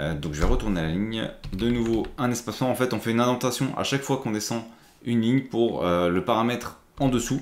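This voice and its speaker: His words come out at a very fast pace. The man's voice is medium in pitch. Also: ordinary pitch variation. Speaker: IT tutorial creator. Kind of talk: tutorial. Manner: casual, with frequent hesitations.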